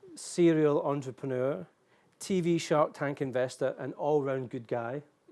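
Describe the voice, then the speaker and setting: A man with a Scottish accent, fairly high pitch, fairly even intonation and a fairly slow pace, on a very clean recording with a silent background. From Scotland. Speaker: event moderator. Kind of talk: live event hosting. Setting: hotel suite event studio.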